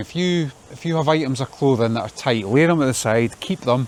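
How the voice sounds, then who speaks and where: Speaking in a Scottish accent, a man keeps a moderate pace and a medium pitch with ordinary pitch variation. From Scotland. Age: 50s. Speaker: vlogger. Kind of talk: casual monologue. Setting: outdoors in garden, walking. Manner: repetitive, halting.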